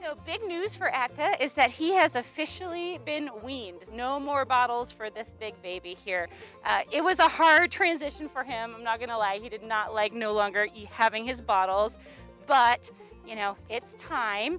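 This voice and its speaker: A woman's high voice at a moderate pace with big swings in loudness, dry with no echo, over faint music in the background. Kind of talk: casual educational commentary. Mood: warm, cheerful. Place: open country.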